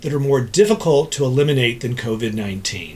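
Moderate-paced speech from a man. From Texas, Dallas. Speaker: ENT doctor. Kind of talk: scripted explainer. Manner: formal. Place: office.

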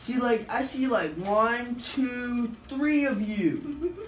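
Pitch moves in an ordinary way as the words come out very slowly. The room echo is audible, with light noise in the background. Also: man. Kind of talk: groggy casual talk. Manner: slurred, woozy post-anesthesia speech. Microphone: camera far.

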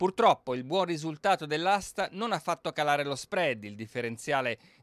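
This man talks at a fairly quick pace, his fairly high pitch making very wide swings. The sound is dry and close with no echo, on a very clean recording with a silent background. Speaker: TV news reporter. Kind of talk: news reading. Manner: formal; brisk, steady, authoritative delivery.

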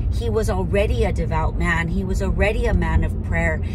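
A woman speaks over loud background noise. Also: dry sound with no echo. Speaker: faith vlogger. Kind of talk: devotional prayer talk. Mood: earnest, reflective. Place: car. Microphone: phone near.

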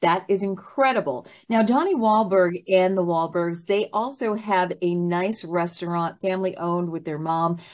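At a moderate pace, a woman speaks with fairly even intonation against a quiet background. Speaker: talk show host. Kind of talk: interview show hosting. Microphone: video call.

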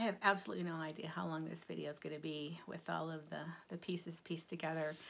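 At a moderate pace, the speech carries audible vocal fry. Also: woman. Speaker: cross stitch and quilting vlogger. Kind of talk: casual show-and-tell haul video. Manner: halting with fillers.

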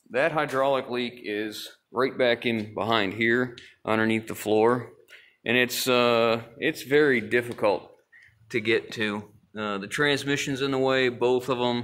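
With fairly even intonation, a man speaks at a fairly slow pace. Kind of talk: casual explanatory walkthrough. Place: garage. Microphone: phone near.

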